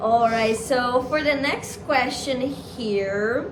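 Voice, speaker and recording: A high-pitched woman's voice in a Portuguese accent, with noticeable background noise and audible room echo. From Brazil. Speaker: YouTuber and international student. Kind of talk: casual chat.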